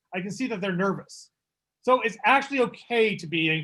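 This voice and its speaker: The background stays quiet. A man speaks, his intonation lively. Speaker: public speaking presenter; public presenter. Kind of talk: workshop talk. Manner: fast. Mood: warm, reassuring.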